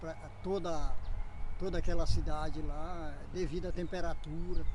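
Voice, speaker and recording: Audible room echo is present. A man does the talking. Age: 60s. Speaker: nature preservationist and memorial caretaker. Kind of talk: casual interview on a nature walk.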